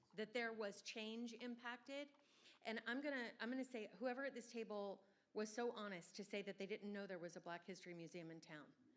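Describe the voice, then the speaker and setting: A woman with an ordinary speaking voice, pitched fairly high, with ordinary pitch variation. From Southern Virginia. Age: 50s. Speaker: event organizer. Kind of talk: audience comment.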